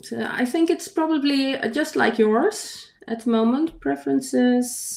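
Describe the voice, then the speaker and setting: The speaker has a non-native accent and a fairly slow pace. The intonation is lively. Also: woman. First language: not English. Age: 50s. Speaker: digital artist. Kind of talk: casual chat. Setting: livestream. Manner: halting.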